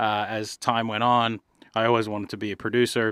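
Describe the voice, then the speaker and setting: Monotone and flat, a man with an Australian accent speaks at a fairly low pitch and moderate pace in a very clean recording with a silent background and dry, close sound with no echo. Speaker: music producer and songwriter. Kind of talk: casual chat.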